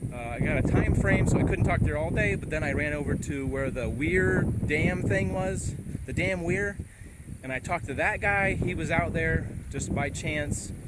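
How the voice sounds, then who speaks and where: A man speaks with lively intonation at a fairly high pitch, with noticeable background noise and audible room echo. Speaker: vlogger, former reporter. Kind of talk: casual outdoor vlog. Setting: outdoors. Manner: fast.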